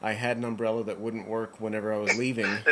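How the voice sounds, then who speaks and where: Over noticeable background noise, a man talks at a fairly quick pace in a medium pitch. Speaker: podcast host. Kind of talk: casual chat. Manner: halting, stutters over names.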